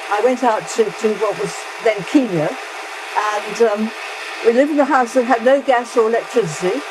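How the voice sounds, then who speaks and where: A woman's fairly high voice, with ordinary pitch variation, moves at a moderate pace while noticeable background noise runs underneath. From England. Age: 90s. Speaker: retired English teacher. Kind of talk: casual interview while cooking. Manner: halting, many restarts.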